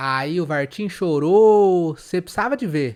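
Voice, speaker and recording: A man puts on a character voice pitched high. He speaks at a fairly slow pace in a sing-song way. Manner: sing-song melodic.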